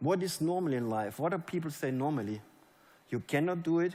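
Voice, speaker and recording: Speaking with a German accent, a man talks at a fairly quick pace. His pitch is fairly high, with ordinary pitch variation. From Germany. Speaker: network marketing leader. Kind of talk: motivational speech. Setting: stage with audience. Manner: animated.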